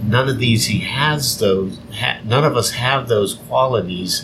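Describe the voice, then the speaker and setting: Over noticeable background noise, a man with a fairly low pitch speaks at a fairly slow pace with ordinary pitch variation. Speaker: podcast host. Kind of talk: religious teaching podcast, casual chat. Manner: nervous speaker, self-described as scared in front of people.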